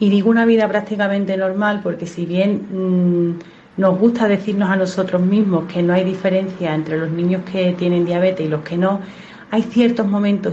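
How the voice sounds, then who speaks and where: Over noticeable background noise and audible room echo, a woman with an Andalusian accent speaks with fairly even intonation. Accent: Andalusian (Seville). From Spain, Seville. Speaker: mother of a child with diabetes. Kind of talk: testimony.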